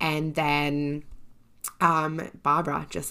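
A woman with a very deep, low pitch speaks at a very slow pace on a very clean recording with a silent background. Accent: Australian. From Australia. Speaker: podcast host. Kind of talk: casual interview chat.

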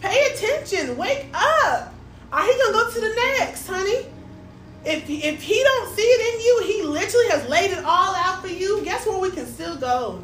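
Amid noticeable background noise and audible room echo, a woman speaks in an animated tone at an extremely high pitch with very wide pitch swings. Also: moderate pace. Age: 30s. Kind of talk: casual faith conversation. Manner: animated, emphatic.

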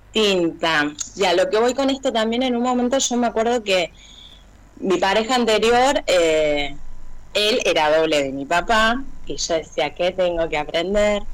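Her pitch medium but swinging very widely, a woman speaks at a fairly slow pace. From Argentina, Buenos Aires south zone. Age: 30s. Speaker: teacher of deaf students. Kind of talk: testimony.

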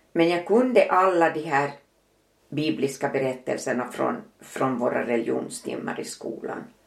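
At a moderate pace, a woman speaks with an Ostrobothnian accent. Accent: Finland-Swedish, Ostrobothnian. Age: 80s+. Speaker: mother and grandmother. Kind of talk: casual interview, personal testimony.

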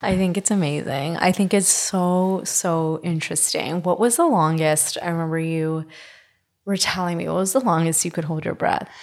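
With a Canadian accent, a woman speaks in an ordinary speaking voice. Her pitch is fairly low, and she keeps a moderate pace with fairly even intonation. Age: 20s. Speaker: podcast host. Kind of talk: casual chat.

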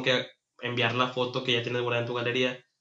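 A man is speaking. He has a Mexican accent. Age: 30s. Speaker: podcast host. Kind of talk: casual chat.

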